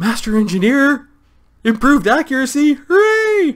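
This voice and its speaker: A man puts on a character voice pitched extremely high. He speaks at a moderate pace. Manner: happy, cheering.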